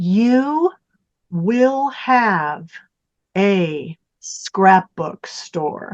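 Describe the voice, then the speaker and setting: In a put-on character voice, a woman booms at a medium pitch with very wide pitch swings, the sound dry and close with no echo. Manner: authoritative.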